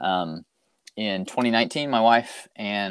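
A man with a normal speaking voice talks at a fairly low pitch with ordinary pitch variation. The recording is very clean with a silent background, and the sound is dry and close with no echo. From US South, Arkansas. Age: 40s. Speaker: youth minister. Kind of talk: casual interview.

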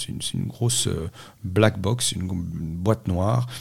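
With ordinary pitch variation, a man speaks in a somewhat breathy voice. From Corsica. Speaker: nutrition scientist. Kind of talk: interview. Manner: halting.

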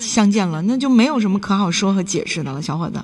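A woman's medium-pitched, animated voice at a very fast pace, with very wide pitch swings, over noticeable background noise. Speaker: radio call-in advice host. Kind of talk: call-in radio advice.

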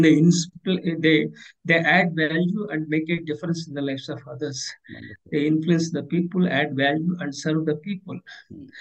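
A man with an Indian accent, fairly high in pitch, monotone and flat in intonation, at a moderate pace. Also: big swings in loudness. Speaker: leadership consultant and author. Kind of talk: interview. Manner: halting.

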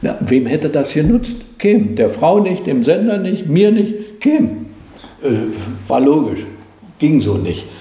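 With long, frequent pauses at a very slow pace, a man speaks in a high pitch with very wide pitch swings, amid noticeable background noise and audible room echo. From East Germany. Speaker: former TV commentator and satirist. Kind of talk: interview. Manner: hesitant with fillers.

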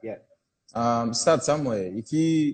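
A man at a medium pitch with ordinary pitch variation, against a quiet background. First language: not English. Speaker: former footballer and coach. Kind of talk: casual interview chat.

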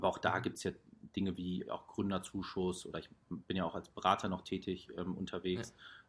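His pitch is very deep and low, and the man's intonation is monotone and flat. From Ruhr area, Germany. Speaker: startup founder. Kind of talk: casual interview.

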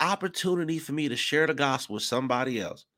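The recording is very clean and the background is silent. In it, a man talks at a moderate pace. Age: 40s. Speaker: podcast host and Bible teacher. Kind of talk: sermon. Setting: live stream.

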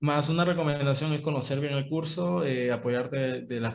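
A man talks in a normal speaking voice at a medium pitch. His pace is moderate and his pitch variation ordinary. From Peru, Ica. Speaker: university student podcast co-host. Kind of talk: casual chat.

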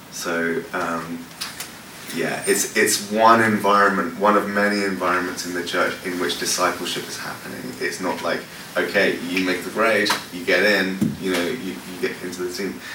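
With a London accent, a man with a very deep, low voice speaks in a flat monotone at a moderate pace over noticeable background noise. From West London, England. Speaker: worship pastor. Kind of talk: workshop talk with Q&A. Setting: stage with audience. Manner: casual, halting with many fillers.

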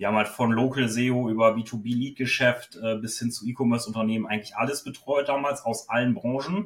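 A man talks fairly quickly at a medium pitch, holding his intonation fairly even. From northwestern Germany, Osnabrück. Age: 30s. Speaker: SEO consultant. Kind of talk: interview. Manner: hesitant, many filler sounds.

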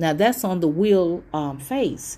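A woman speaks in a fairly low register with a dark, mellow tone and lively intonation. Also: very clean recording, silent background. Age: 40s. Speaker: podcast host, tarot reader. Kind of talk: solo podcast monologue. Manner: casual, with frequent fillers.

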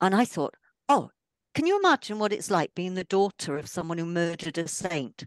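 Recorded dry and close with no echo against a quiet background, a woman with an ordinary speaking voice and medium pitch talks at a fairly quick pace with lively intonation. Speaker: author and photographer. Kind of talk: casual interview chat.

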